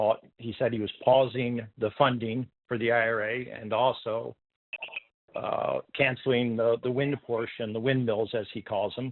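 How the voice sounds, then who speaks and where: This man talks at a moderate pace. His pitch is medium. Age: 60s. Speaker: caller, engineer. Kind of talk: caller question. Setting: phone call. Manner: halting.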